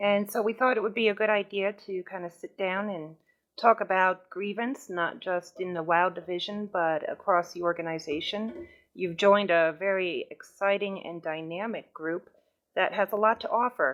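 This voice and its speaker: A woman speaks in a New York accent at a medium pitch. Her pace is moderate. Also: ordinary pitch variation. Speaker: gaming guild recruiting officer. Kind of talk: informational meeting talk. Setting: voice chat server.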